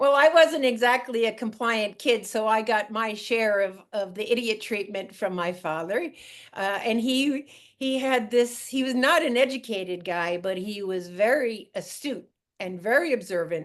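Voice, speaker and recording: Using an ordinary speaking voice, a woman with an American accent speaks at a moderate pace and fairly high pitch, her intonation lively. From Long Island, New York (Montauk). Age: 60s. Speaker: fisherman's daughter, sailor. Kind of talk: podcast interview.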